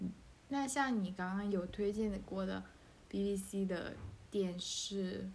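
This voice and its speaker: Very slowly, a woman speaks at medium pitch. Audible room echo and noticeable background noise surround her. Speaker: podcast host. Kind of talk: casual chat.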